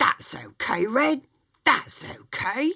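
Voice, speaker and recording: A woman does a put-on character voice that is raspy and fairly high, with sound effects in the background. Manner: gentle.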